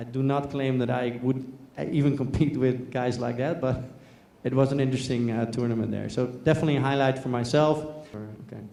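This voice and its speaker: Amid audible room echo, a man speaks in a medium pitch with monotone, flat intonation. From Netherlands. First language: Dutch. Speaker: business executive, presenter. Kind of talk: conference talk. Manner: hesitant, many fillers.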